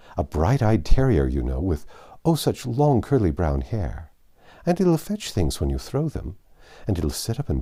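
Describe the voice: Reading aloud, plain.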